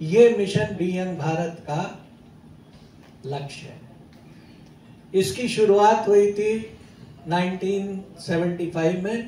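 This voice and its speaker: Over noticeable background noise, a man with a high pitch and ordinary pitch variation speaks with big swings in loudness and long, frequent pauses. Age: 70s. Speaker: company chairman. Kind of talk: motivational talk to audience.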